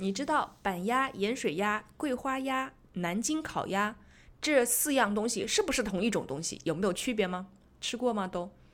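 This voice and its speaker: A woman's ordinary speaking voice, fairly high in pitch, with lively intonation at a moderate pace, on a very clean recording with a silent background. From Zhejiang, China. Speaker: podcast host. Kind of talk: casual chat.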